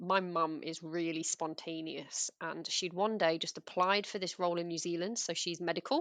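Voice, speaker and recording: Against a quiet background, a woman with an English accent speaks in a fairly low voice at a moderate pace, her intonation fairly even. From England. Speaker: former teacher. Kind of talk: casual interview chat.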